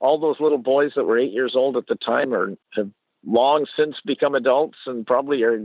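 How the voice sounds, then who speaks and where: A man speaks in a normal speaking voice with a Canadian accent, his pitch fairly high. His pitch varies in the ordinary way and his pace is moderate. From Canada. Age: 60s. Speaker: storyteller. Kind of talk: interview.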